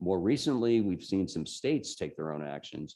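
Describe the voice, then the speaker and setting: A man speaks with a very deep, low pitch and a dark, mellow tone. He has a slight New Jersey accent. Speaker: tech journalist, invited speaker. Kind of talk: talk to a user group.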